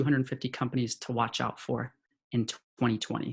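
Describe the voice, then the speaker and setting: A man at a medium pitch with an American accent. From California. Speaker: head of sales at an ad-tech company. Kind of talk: webinar presentation.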